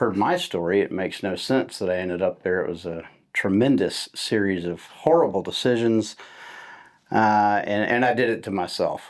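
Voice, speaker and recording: A man's fairly low voice at a moderate pace, with ordinary pitch variation, an unremarkable speaking voice, on a very clean recording with a silent background. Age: 40s. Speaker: recovery advocate and podcast host. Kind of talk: casual interview.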